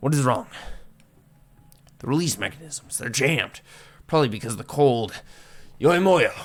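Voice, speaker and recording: A man puts on a raspy character voice, fairly high in pitch, with lively intonation. He keeps a moderate pace but leaves long, frequent pauses. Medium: solo performance. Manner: clipped broken English.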